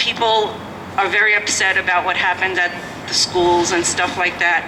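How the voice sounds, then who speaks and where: Noticeable background noise is present throughout. Over it, a woman speaks at a moderate pace. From New York City (Brooklyn). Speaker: citizen speaking at a public hearing. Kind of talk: public testimony. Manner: animated.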